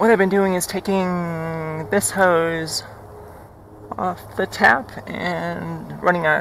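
A plain, everyday voice with ordinary pitch variation. The sound is dry with no echo, over light background noise. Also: woman. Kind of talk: casual walkthrough of bike modifications. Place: garden. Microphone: phone near.

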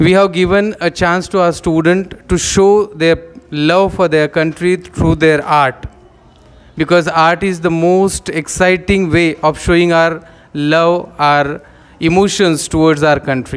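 At a fairly slow pace and high pitch, a man talks with fairly even intonation and very even loudness while faint music plays in the background. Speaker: teacher or staff member filming. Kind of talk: event commentary. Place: classroom. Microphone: lapel.

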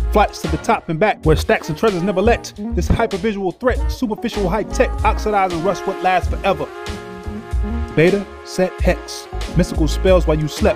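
Background music plays while a man speaks fairly quickly. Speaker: spoken word poet. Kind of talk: spoken word poetry performance over music. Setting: music bed behind voice.

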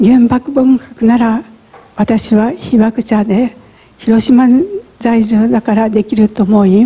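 A woman speaks at a very slow pace with long, frequent pauses. Her intonation is fairly even and her loudness very even. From Japan, Hiroshima; Japan. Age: 70s. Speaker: atomic bomb survivor. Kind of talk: testimony. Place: church.

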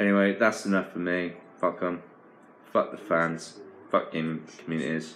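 Speaking at a moderate pace with a British accent, a man uses a very deep, low pitch and fairly even intonation against light background noise. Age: 40s. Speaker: gaming video creator. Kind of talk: casual rant. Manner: halting, repeats words. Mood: irritated, ranting. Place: home room. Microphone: phone near.

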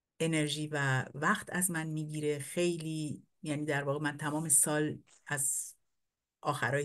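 A woman speaks with a very deep, low pitch. Her intonation stays flat and monotone. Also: quiet background. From Iran, Abadan; Iran. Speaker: painter and poet; poet. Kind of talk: lecture. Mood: warm, reflective. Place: home room. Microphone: webcam.

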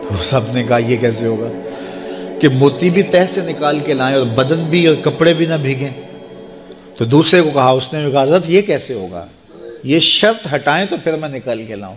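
Over light background noise, a man uses a plain, everyday voice with fairly high pitch and lively intonation. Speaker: Islamic scholar giving a religious lecture. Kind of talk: Islamic sermon (bayan). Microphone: podium.

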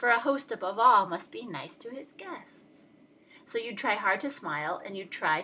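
In a natural reading voice, the intonation rises and falls in a lively way.

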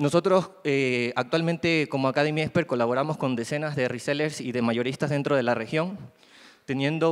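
A man with a normal speaking voice, fairly high in pitch, at a moderate pace with ordinary pitch variation and a quiet background. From Ecuador, Guayaquil; Ecuador. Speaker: network trainer and consultant; network trainer. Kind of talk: conference presentation. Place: hall.

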